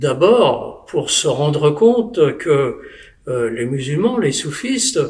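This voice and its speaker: A man talks at a very slow pace in a fairly high pitch with very wide swings, amid noticeable background noise and audible room echo. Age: 70s. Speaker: former mayor, spiritual convert. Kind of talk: testimony. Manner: halting, with hesitations.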